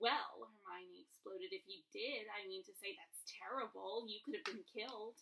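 The clip consists of reading aloud in a natural voice.

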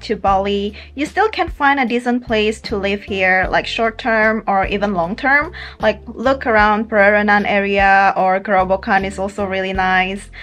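A woman speaks at a moderate pace with fairly even intonation and hardly any pauses. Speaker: travel vlogger. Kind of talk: casual vlog chat. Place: home room. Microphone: phone near.

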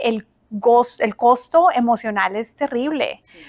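At a moderate pace, a woman speaks with ordinary pitch variation against a quiet background. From Colombia. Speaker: family mediator, former judge; interview guest. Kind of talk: interview. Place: office.

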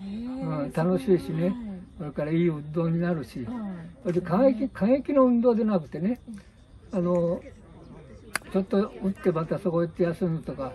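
Over light background noise, a man with a high voice and lively intonation speaks with long, frequent pauses. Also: moderate pace. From Japan. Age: 80s+. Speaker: elderly ground golf player interviewed. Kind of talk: interview answer; casual talk. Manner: energetic.

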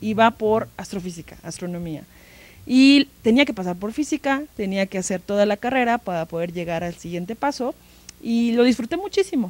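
Delivered at a moderate pace, the voice has a dry sound with no echo. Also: woman, lively intonation. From Mexico, Tlaxcala. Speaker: museum educational curator. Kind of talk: interview. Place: studio. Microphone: handheld.

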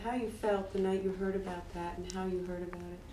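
Audible room echo and light background noise surround a woman's voice. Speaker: documentary interviewer. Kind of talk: interview. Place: home room.

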